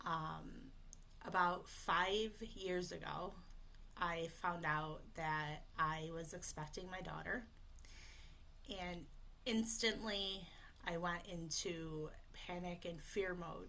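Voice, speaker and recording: In a bright, sharp tone and a fairly low voice, a woman speaks very slowly with long, frequent pauses, fairly even intonation and audible room echo. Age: 30s. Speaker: voice coach for people who stutter. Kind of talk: live webinar presentation.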